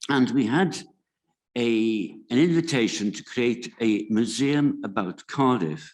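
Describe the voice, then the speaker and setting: A man with a Welsh accent at a medium pitch, with lively intonation and a fairly slow pace marked by long, frequent pauses, against a quiet background. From Wales. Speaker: museum committee founder. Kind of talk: conference talk. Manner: halting.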